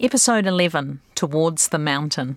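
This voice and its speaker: In a very clean recording with a silent background, a woman with a New Zealand accent talks at a moderate pace with lively intonation. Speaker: broadcaster, podcast host. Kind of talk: scripted narration.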